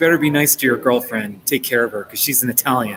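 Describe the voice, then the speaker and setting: A man at a medium pitch with ordinary pitch variation, amid noticeable background noise. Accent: American. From New Jersey / New York area, US. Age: 40s. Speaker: live streamer and author. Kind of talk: casual live stream chat. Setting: coffee shop.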